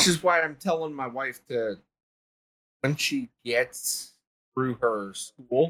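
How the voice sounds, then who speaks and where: Very slow speech from a man with a fairly high pitch and long, frequent pauses. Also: lively intonation. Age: 20s. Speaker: army veteran and content creator. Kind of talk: casual chat. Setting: live stream.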